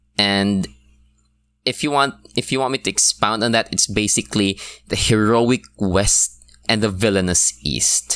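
A man at a fairly slow pace and fairly low pitch, with ordinary pitch variation. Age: 20s. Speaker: podcast host, book reviewer. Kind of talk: solo podcast review. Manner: casual, filler-heavy with laughs.

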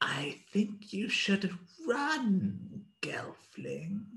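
A man puts on a high-pitched character voice with lively intonation. He speaks quietly.

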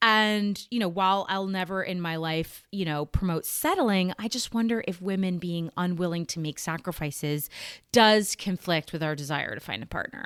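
In a very clean recording with a silent background, a woman with an unremarkable speaking voice and a medium pitch talks at a moderate pace with ordinary pitch variation and hardly any pauses. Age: 40s. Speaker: podcast host. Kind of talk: casual chat.

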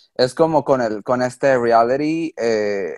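The recording has a quiet background and a dry, close sound with no echo. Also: man. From Mexico. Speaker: reality show contestant. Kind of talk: interview.

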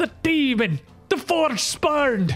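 Someone does a put-on character voice over faint music in the background. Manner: fearful, alarmed.

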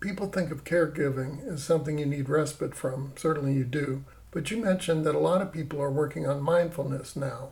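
An ordinary speaking voice from a man, fairly high in pitch and fairly quick in pace. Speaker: interviewer. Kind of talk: interview.

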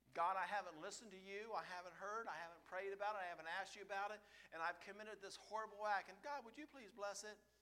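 A man's high-pitched, raised and projected voice, bright and sharp in tone, very fast with hardly any pauses and big swings in loudness. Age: 50s. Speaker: lay preacher. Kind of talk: sermon. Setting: church. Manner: animated.

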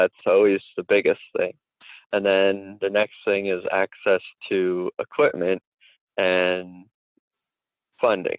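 A man with a Central Pennsylvania accent speaks at a very slow pace, taking long, frequent pauses. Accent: Central Pennsylvania American. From Pennsylvania, Dauphin County. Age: 20s. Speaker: farmer. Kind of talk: interview.

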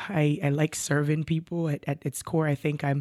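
A woman with an American accent speaks in a very deep, low pitch. The recording is very clean with a silent background and a dry, close sound with no echo. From Jamaica. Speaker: college professor and pastor. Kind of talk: interview.

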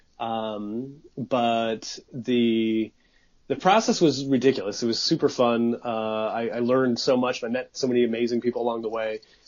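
A man's ordinary speaking voice at medium pitch, with fairly even intonation and a moderate pace. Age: 30s. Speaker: documentary filmmaker. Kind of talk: casual chat.

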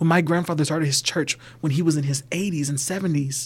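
In a normal speaking voice with an American accent, the speaker moves at a fairly quick pace with fairly even intonation. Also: man. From US South, Georgia. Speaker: banker. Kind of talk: casual chat.

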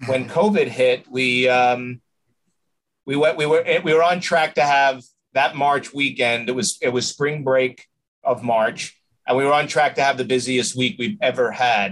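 Someone with a New York accent talks at a fairly slow pace. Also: man, medium pitch for a man, ordinary pitch variation. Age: 50s. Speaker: restaurant owner. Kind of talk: interview.

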